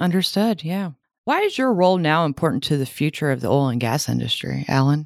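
A woman with a very deep, low pitch talks at a fairly quick pace with lively intonation. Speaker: podcast host. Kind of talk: interview.

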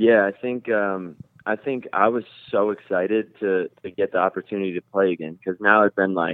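A plain, everyday voice from a man with an American accent, fairly low in pitch, at a moderate pace with fairly even intonation. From New Jersey, near Rockland County NY. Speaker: professional soccer goalkeeper. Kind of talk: interview.

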